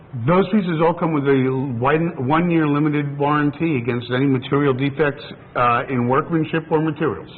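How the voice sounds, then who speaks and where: Over noticeable background noise, a man with an American accent talks at a fairly quick pace. His fairly high pitch holds a fairly even intonation. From New York. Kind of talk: TV shopping pitch.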